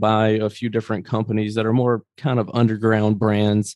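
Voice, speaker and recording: A man at medium pitch, moderate pace, fairly even intonation. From US South, Greenville, Mississippi. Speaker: business owner. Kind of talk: interview.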